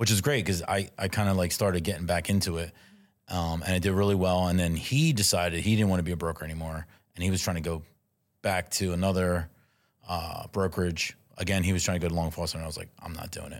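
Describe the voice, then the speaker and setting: A man with a very deep, low pitch and a Philadelphia accent speaks very fast with fairly even intonation, in a very clean recording with a silent background. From US, South Philadelphia. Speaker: real estate agent, former restaurant owner. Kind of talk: casual chat.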